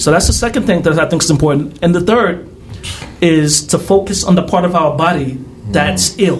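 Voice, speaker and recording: Over noticeable background noise, a man with an American accent speaks at a fairly quick pace in a high pitch, keeping his loudness very even. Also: ordinary pitch variation. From US Northeast, Harlem, New York City. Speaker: activist. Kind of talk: casual interview conversation.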